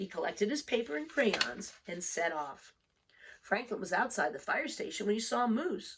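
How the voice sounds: A woman with a fairly bright tone and a slightly husky edge speaks at a moderate pace, her pitch swinging in big arcs. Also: medium pitch for a woman.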